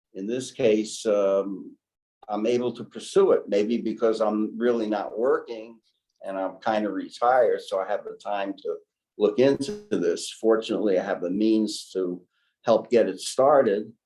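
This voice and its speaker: With music playing in the background, a man speaks at a moderate pace. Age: 80s+. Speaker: retired inventor. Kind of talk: interview.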